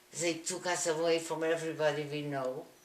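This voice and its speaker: A woman speaks at a fairly slow pace with a fairly low pitch. Noticeable background noise runs under her voice. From Slovakia. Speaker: Holocaust survivor. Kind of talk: interview answer.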